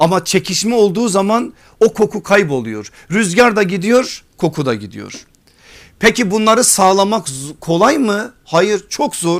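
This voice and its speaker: A man's high voice moves fairly slowly, its pitch rising and falling in an ordinary way. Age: 40s. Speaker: Islamic preacher and teacher. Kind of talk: religious lecture.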